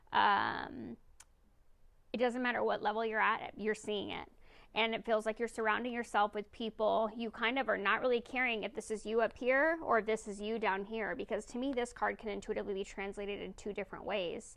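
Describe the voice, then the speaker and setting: A woman with vocal fry speaks at a fairly quick pace against a quiet background. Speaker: tarot reader. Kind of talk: tarot reading monologue. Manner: fast; casual, with fillers.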